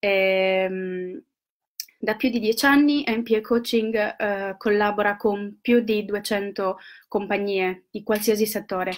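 Against a quiet background, a woman speaks very slowly at a medium pitch with fairly even intonation. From Italy. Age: 30s. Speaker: university intern presenting agency services. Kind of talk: live video presentation. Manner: halting, many fillers. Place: home room. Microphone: webcam.

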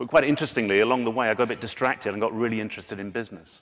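A man's voice rises and falls in a normal way against a hushed backdrop. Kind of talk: conference talk. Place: stage. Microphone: podium.

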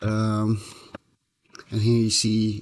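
The tone is slightly mellow and the pace very slow. Intonation stays monotone and flat. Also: man, fairly low pitch for a man.

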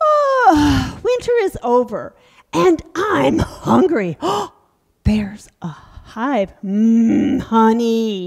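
A woman's cartoonish character voice, fairly high-pitched and at a very slow pace. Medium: puppet show. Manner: silly, dramatic, easily fooled.

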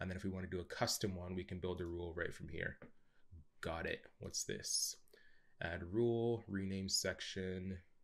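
A man with a Canadian accent, a very deep, low pitch, moderate pace and fairly even intonation, over a quiet background. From Canada. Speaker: YouTube software tutorial host. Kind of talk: screen-share tutorial. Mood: curious, impressed.

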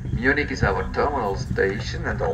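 Music plays in the background as the speaker talks at a moderate pace. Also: man. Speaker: train conductor announcer. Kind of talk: public announcement. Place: train.

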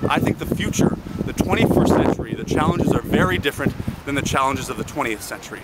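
A man with a Canadian accent speaks very fast over loud background noise. The sound is dry, with no echo. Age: 20s. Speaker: student union president. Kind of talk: political campaign pitch to camera. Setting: outdoors. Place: open country. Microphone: phone near.

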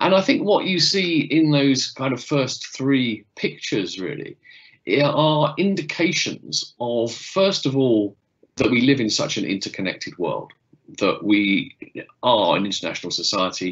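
Over a quiet background, a man talks at a fairly slow pace with vocal fry. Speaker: lecturer giving an online talk. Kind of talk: lecture. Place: home room. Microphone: webcam.

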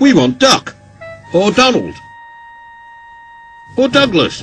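Over faint music in the background, a man does a put-on character voice that is high-pitched and fairly bright with a slightly husky edge, going slowly through very wide pitch swings.

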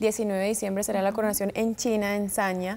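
This woman's voice has a dark, mellow tone. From US, Florida (Tampa), Colombian family; Florida. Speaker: beauty pageant winner; guest. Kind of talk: TV interview. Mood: poised, friendly. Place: studio. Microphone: lapel.

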